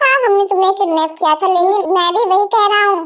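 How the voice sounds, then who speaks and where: A woman puts on a character voice at a fairly quick pace. Her loudness stays very even. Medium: read story. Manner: sarcastic, impatient.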